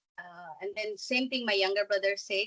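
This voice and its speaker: A woman's bright, sharp voice in a dry, close sound with no echo. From Bangladesh. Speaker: entrepreneur. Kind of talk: guest talk.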